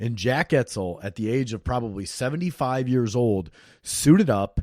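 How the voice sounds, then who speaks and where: A man with an American accent and a dark, mellow tone, with very wide pitch swings, on a very clean recording with a silent background. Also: dry, close sound with no echo. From Iowa. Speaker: podcast host. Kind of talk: podcast intro monologue. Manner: casual.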